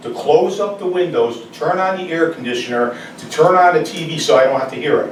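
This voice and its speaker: A man's pitch varies in an ordinary way. Noticeable background noise and audible room echo surround him. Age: 60s. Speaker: resident speaking at public comment. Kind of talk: public comment at town meeting. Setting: town board meeting.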